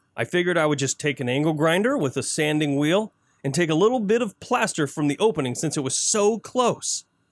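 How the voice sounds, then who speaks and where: An unremarkable speaking voice at a moderate pace, with lively intonation and an American accent, on a very clean recording with a silent background. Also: man. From Flint, Michigan, US. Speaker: home improvement radio show co-host. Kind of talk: casual chat.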